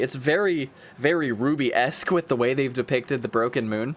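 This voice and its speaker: A man talks with lively intonation. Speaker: YouTube reaction creator. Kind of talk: video reaction commentary. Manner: fast; animated.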